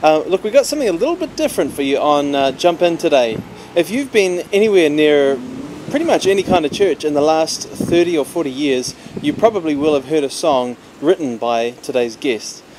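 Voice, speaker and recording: A man with a New Zealand accent speaks at a fairly quick pace with a fairly high pitch. His intonation is lively, and noticeable background noise can be heard. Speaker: podcast host. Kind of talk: podcast intro.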